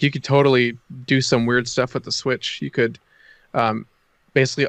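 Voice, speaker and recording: A man with an American accent uses an ordinary speaking voice at medium pitch, fairly quick pace and fairly even intonation. The recording is dry and close with no echo and a quiet background. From Illinois. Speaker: network engineer. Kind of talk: casual tech discussion.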